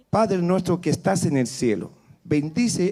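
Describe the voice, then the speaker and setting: A man with an Easter Island accent, high pitch, a dark, mellow tone and a fairly slow pace. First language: Rapa Nui (speaking Spanish). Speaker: spiritual leader giving a blessing. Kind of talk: blessing prayer at festival opening. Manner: solemn.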